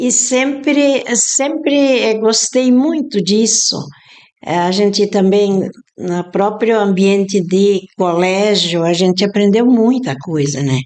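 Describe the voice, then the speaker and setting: With lively intonation, a woman talks at a very slow pace. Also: medium pitch for a woman. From southern Brazil. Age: 70s. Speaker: retired teacher and catechist. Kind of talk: interview.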